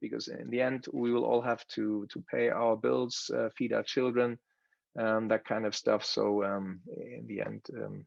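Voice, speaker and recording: At a moderate pace, a man speaks with a German accent. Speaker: course participant. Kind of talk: presentation. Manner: halting, many fillers and repetitions.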